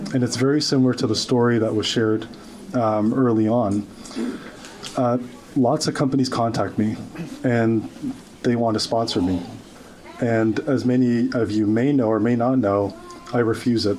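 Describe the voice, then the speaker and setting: With audible room echo and noticeable background noise, a man speaks at a moderate pace in a medium pitch, keeping fairly even intonation and very even loudness while taking long, frequent pauses. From grew up in Oakville, Ontario, Canada; refugee immigrant. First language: not English. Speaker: social media commentator. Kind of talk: rally speech. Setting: stage with audience.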